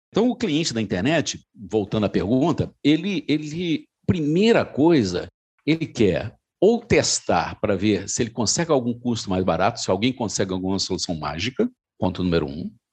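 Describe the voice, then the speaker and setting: Against a quiet background, a man speaks at a medium pitch and a moderate pace, his pitch swinging very widely. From Minas Gerais, Brazil. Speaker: insurance broker and business partner. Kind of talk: casual interview conversation. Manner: conversational, with frequent hesitations and repeated words.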